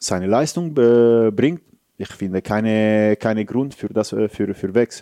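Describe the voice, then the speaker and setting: Dry and close with no echo, this voice has a dark, mellow tone, an Italian accent and ordinary pitch variation. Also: man. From Italy, Rome. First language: Italian (speaking German). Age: 30s. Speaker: football goalkeeping coach. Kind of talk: casual interview. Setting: stadium. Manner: animated.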